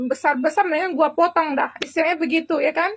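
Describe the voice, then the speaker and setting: A woman speaks at an extremely high pitch. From Indonesia, Jakarta. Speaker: vlogger. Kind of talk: casual vlog monologue. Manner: hesitant, repetitive.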